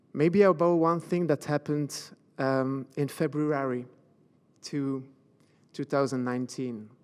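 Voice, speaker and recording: In a very clean recording with a silent background, a man with a Belgian French accent speaks in a fairly high pitch with fairly even intonation and long, frequent pauses. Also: fairly slow pace. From Belgium, French-speaking. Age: 40s. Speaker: motivational speaker and coach. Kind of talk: motivational talk. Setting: stage with audience. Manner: halting.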